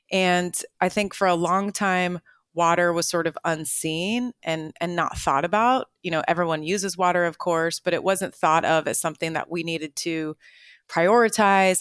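The recording is very clean, with a silent background and a dry, close sound with no echo. A woman talks at a moderate pace in an ordinary speaking voice, fairly low-pitched, with fairly even intonation. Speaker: water policy executive. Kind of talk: interview answers, explanatory.

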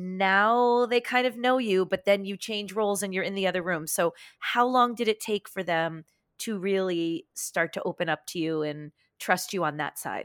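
A woman's medium-pitched, unremarkable speaking voice, with ordinary pitch variation and a moderate pace. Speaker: podcast host. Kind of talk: interview, friendly chat.

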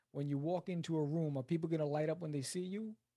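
A dark, mellow voice with a New York accent and ordinary pitch variation comes through in a dry, close sound with no echo. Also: man. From New York City (Queens). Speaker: writer and comic book creator. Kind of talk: interview.

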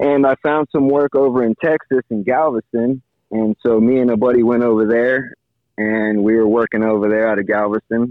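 A man's unremarkable speaking voice with an American accent, medium pitch, fairly even intonation, very even loudness, and a moderate pace. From Miami, Florida. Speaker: fishing captain. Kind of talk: casual interview. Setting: phone call.

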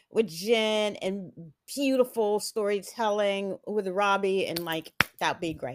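A woman speaks at a very slow pace with a fairly high pitch and an American accent, on a very clean recording with a silent background. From Texas (Houston), earlier Atlanta. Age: 50s. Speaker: theater director. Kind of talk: interview.

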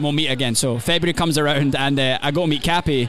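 Over noticeable background noise, a man speaks at a fairly quick pace with a Scottish accent. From Scotland. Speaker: country singer. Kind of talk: casual interview.

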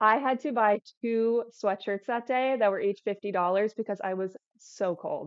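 In an ordinary speaking voice, a woman talks at a moderate pace, fairly high in pitch with ordinary pitch variation. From Florida. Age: 20s. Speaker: fitness content creator. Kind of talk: casual chat.

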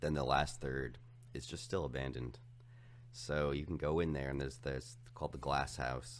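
Very deep, low male voice at a moderate pace, fairly even in intonation, with audible room echo. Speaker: podcast guest. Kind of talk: casual chat.

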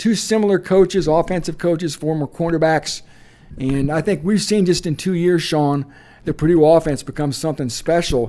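A man with a high voice and a dark, mellow tone speaks. His pace is moderate and his pitch variation ordinary. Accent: American. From Indiana. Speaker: college football writer. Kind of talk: casual interview. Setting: on location at a convention.

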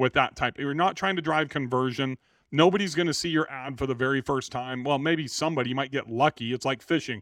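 A plain, everyday voice with an American accent moves at a fairly quick pace and ordinary pitch variation. The sound is dry and close with no echo, over a quiet background. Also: man, fairly high pitch for a man. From California, Central Valley (Bakersfield). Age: 50s. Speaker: real estate entrepreneur. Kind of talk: podcast interview.

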